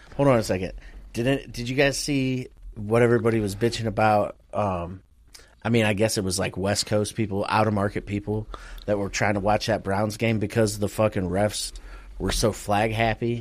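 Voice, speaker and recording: Here is a plain, everyday voice at a moderate pace. Its intonation stays fairly even. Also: man, fairly low pitch for a man. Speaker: podcast co-host. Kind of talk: casual banter about sports. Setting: remote recording over internet.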